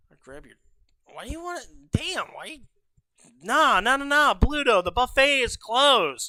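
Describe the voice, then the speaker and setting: A raised, projected voice with a bright, sharp tone and lively intonation comes through on a very clean recording with a silent background. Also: man. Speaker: livestreamer. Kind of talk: casual livestream commentary. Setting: home stream room. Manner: stutters, trips over words; emotional, heartfelt.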